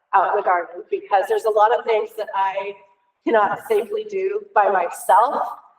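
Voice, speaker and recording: A woman at a moderate pace, fairly high in pitch, with fairly even intonation. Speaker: elementary STEM teacher. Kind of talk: public meeting presentation. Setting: school board meeting. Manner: loud.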